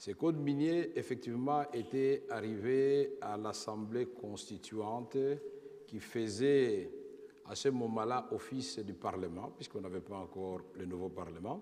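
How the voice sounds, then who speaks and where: A man talks at a very slow pace. His voice is dark and mellow, with a medium pitch. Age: 50s. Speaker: former politician, witness. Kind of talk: testimony before tribunal. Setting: tribunal hearing.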